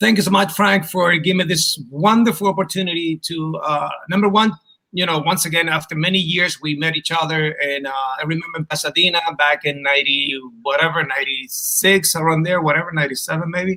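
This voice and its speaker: With a Chilean Spanish accent, a man speaks at a high pitch and fairly quick pace, with ordinary pitch variation. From Chile, Punta Arenas. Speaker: martial arts instructor. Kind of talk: casual interview.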